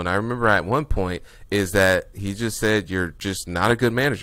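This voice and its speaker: In an unremarkable speaking voice, a man talks at a fairly quick pace with a fairly low pitch. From US Midwest, Indianapolis, Indiana. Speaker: real estate investor. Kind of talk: podcast interview.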